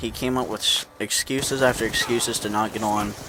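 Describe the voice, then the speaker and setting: Through noticeable background noise, a man speaks at a moderate pace with fairly even intonation. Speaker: competitive gamer commentating own team's gameplay. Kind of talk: casual video commentary.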